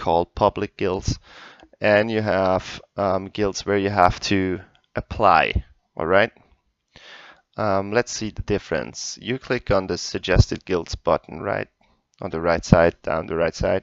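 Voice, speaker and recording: A man with a non-native accent talks at a very deep, low pitch and a fairly slow pace. His intonation is fairly even, with long, frequent pauses over a quiet background. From Europe, not UK. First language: not English. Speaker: gaming tutorial youtuber. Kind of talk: tutorial. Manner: hesitant, many fillers.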